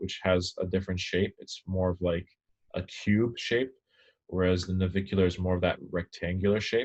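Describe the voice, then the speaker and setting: Monotone, flat intonation at a fairly quick pace, with a quiet background. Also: man. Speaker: anatomy lecturer. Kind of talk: lecture. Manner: fast.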